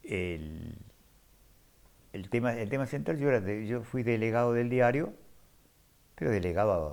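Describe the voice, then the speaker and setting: Lively intonation marks this voice, broken by long, frequent pauses. Room echo is audible. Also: man, medium pitch for a man. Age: 70s. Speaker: former print worker and union activist. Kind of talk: interview testimony. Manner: halting.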